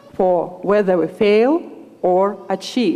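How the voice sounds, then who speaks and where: Speaking at a very slow pace with a medium pitch and a Russian accent, a woman is heard over noticeable background noise. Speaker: student speaker. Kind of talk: commencement speech. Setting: graduation ceremony with audience.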